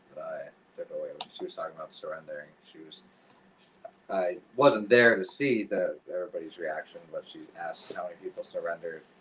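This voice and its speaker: Amid noticeable background noise, a man talks at a fairly quick pace with big swings in loudness. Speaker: church small group co-host. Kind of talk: casual chat. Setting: livestream.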